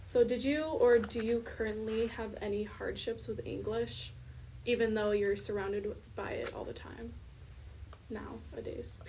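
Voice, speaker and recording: A woman at a moderate pace, with big swings in loudness and noticeable background noise. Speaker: podcast co-host, education student. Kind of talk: casual interview.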